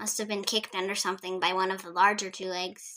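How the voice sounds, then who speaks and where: A woman rattles along at a very fast pace in a put-on character voice of medium pitch. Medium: read story. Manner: cheerful, light.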